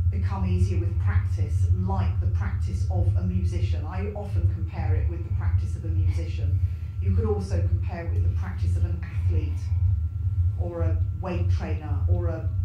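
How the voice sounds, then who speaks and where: Loud background noise and audible room echo surround speech broken by long, frequent pauses. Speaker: panelist. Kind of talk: panel discussion answer. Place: hall.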